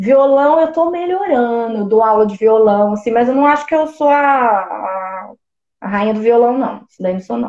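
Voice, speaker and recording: With an unremarkable speaking voice, a woman talks at a moderate pace, her fairly high pitch carried by lively intonation. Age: 20s. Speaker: musical theatre actress and singer. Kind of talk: casual interview on a live stream.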